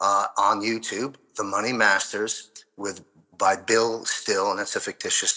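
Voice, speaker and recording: This man speaks with an American accent. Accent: New York, mostly hidden unless excited. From New York, Queens and Long Island. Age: 60s. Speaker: former financial advisor, prophetic commentator. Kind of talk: interview.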